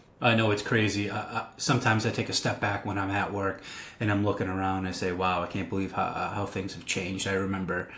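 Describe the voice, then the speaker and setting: A man's fairly low, monotone voice with an American accent at a very fast pace, over noticeable background noise. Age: 30s. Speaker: pizzeria owner. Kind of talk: casual interview.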